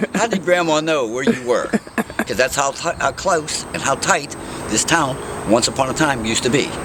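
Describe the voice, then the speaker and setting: Moderate pace and lively intonation from a man with an American accent at a fairly high pitch, amid noticeable background noise. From western Pennsylvania, Pittsburgh area. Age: 60s. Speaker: mayoral candidate. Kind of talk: interview. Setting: outdoors.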